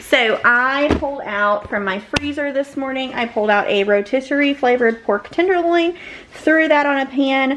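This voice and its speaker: A woman talks at a fairly slow pace in a high voice with ordinary pitch variation. Noticeable background noise sits behind her. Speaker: family vlogger. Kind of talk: casual vlog talk.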